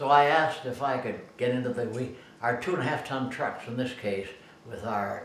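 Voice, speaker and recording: A man speaks at a medium pitch with an American accent while noticeable background noise carries on behind him. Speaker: war veteran. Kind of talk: interview answer.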